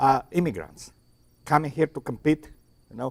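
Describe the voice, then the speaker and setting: Heard as a dry, close sound with no echo, a man with a Romanian accent speaks in a fairly high pitch with ordinary pitch variation. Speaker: talk show host. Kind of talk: discussion panel. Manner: halting.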